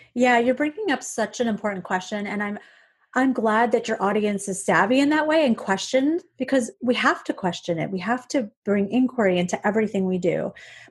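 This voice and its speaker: Over a quiet background, a woman speaks with a fairly high pitch, a somewhat breathy voice, lively intonation and an animated tone. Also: fairly quick pace. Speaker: eating psychology coach. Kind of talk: interview. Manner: fast.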